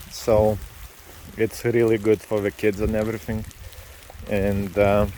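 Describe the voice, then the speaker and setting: Over noticeable background noise, a man speaks fairly slowly at a fairly low pitch with monotone, flat intonation. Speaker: vlogger. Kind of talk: casual vlog narration. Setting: outdoors hiking by a lake in rain. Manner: relaxed, chatty.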